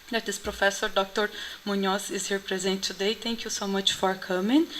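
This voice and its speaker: This is a woman speaking. She has a Portuguese accent. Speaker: conference organizer, assistant professor. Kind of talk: opening speech at conference. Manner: halting, many fillers.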